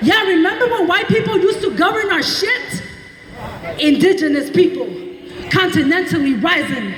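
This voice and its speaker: Over noticeable background noise, a woman with an extremely high pitch speaks in a passionate tone at a moderate pace, her intonation lively. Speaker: poet, historian, activist. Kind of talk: slam poetry performance. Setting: outdoors, live event. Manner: passionate, defiant.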